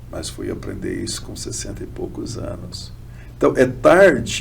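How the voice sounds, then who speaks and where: A man's voice comes through with noticeable background noise and audible echo from the room. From Brazil, São Paulo state (Ribeirão Preto). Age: 60s. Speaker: bishop and theologian. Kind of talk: podcast interview.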